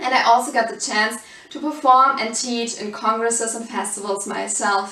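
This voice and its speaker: Over noticeable background noise and audible room echo, a woman with a German accent talks at a moderate pace in a fairly high pitch, with ordinary pitch variation and big swings in loudness. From Germany. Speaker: salsa dance teacher. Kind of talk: course introduction.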